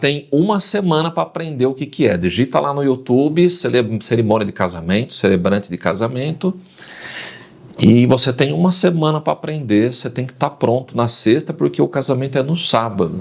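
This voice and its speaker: A man speaks at medium pitch and a moderate pace. His voice has vocal fry and very wide pitch swings. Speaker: announcer and wedding celebrant. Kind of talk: podcast interview answer. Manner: lively, storytelling.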